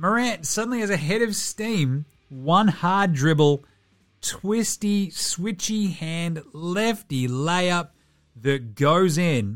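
A man with an Australian accent talks at a very slow pace, his high pitch and lively intonation set against music in the background. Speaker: basketball podcast host. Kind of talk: sports commentary, game recap. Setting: studio. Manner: animated.

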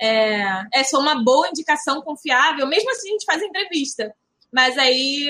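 Her raised, projected voice has a bright, sharp tone, and this woman talks at a moderate pace with a high pitch. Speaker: retail consultant. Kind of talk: casual chat.

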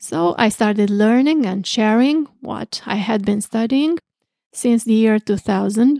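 Speaking with a Romanian accent at a fairly slow pace, a woman with a fairly high pitch, ordinary pitch variation and a dark, mellow tone comes through dry and close with no echo. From southwestern Romania, Craiova. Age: 60s. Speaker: astrologer. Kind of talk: interview.

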